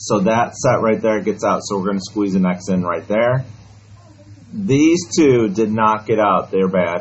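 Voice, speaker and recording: The speaker's pitch varies in an ordinary way, and audible room echo surrounds the voice. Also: man, fairly low pitch for a man, fairly slow pace. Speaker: math teacher. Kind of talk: classroom lesson. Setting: classroom with students.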